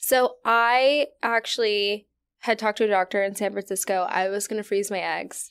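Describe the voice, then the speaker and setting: A woman's normal speaking voice at a medium pitch and moderate pace, with fairly even intonation, on a very clean recording with a silent background. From Virginia. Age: 20s. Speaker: podcast host. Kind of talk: casual interview chat. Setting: studio.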